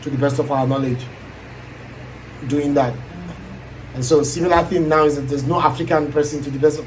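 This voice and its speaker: The speaker moves at a fairly quick pace yet leaves long, frequent pauses. Noticeable background noise and audible room echo are present. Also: man, fairly high pitch for a man. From Nigeria. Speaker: aspiring YouTuber. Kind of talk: casual chat. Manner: energetic.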